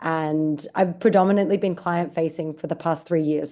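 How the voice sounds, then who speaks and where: This woman has a dark, mellow tone. She speaks with an Australian accent. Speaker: digital marketing director. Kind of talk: podcast interview.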